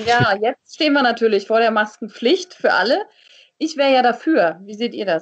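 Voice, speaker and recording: A woman with a plain, everyday voice at a fairly high pitch, speaking at a moderate pace with lively intonation. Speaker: TV and radio presenter, voice-over speaker. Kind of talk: casual chat.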